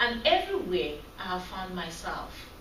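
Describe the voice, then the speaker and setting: Very slowly, a woman speaks with very wide pitch swings, with audible room echo and noticeable background noise. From Cameroon. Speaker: graduate student. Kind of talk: class presentation. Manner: soft-spoken.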